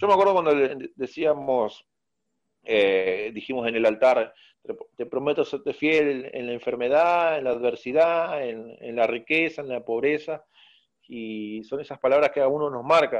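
Against a quiet background, a man with a fairly high pitch speaks at a fairly slow pace, with ordinary pitch variation and big swings in loudness. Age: 30s. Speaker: church communicator and musician. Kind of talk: casual interview. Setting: at home. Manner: halting.

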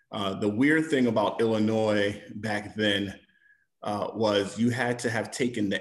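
Against a quiet background, a man with an American accent speaks at a fairly slow pace. He has an unremarkable speaking voice, with a fairly low pitch and fairly even intonation. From New York. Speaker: federal prosecutor. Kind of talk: panel discussion. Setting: in a car.

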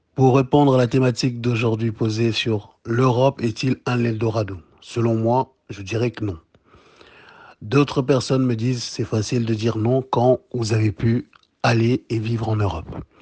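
Against a quiet background, a somewhat breathy, dark, mellow voice moves at a fairly slow pace with fairly even intonation. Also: man, medium pitch for a man. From DR Congo, Kinshasa. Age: 30s. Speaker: entrepreneur and Pan-African activist. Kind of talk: podcast interview.

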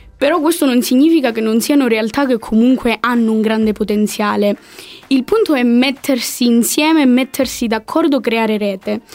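Very even loudness over noticeable background noise. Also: woman, high pitch for a woman, ordinary pitch variation, moderate pace. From Calabria. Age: 20s. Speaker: political science student. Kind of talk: casual chat.

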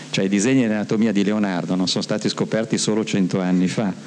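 The talking goes at a fairly quick pace. The background carries noticeable noise. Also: man. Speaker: author and illustrator. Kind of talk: talk to young audience. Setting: stage with audience.

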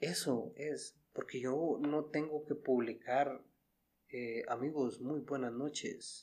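Speaking at a very slow pace, a man with a fairly high pitch for a man shows ordinary pitch variation. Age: 30s. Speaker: podcast host. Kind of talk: casual chat. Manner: animated.

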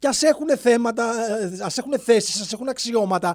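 A man talks at a moderate pace in an extremely high pitch with lively intonation. The recording is very clean, with a silent background. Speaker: podcast host. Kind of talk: satirical monologue.

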